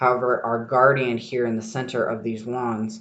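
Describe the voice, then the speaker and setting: An unremarkable speaking voice, a man at medium pitch with fairly even intonation. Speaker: tarot podcast host. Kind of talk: solo podcast talk. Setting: library study room.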